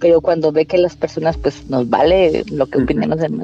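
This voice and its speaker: The woman's voice comes across dry and close, with no echo. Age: 30s. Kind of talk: interview testimony. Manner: halting, many repetitions.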